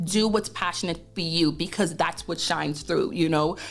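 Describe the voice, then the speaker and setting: Someone speaks in a Caribbean accent at a moderate pace with ordinary pitch variation while music plays in the background. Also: woman. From Bahamas. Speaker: accountancy firm founder. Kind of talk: interview. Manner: animated.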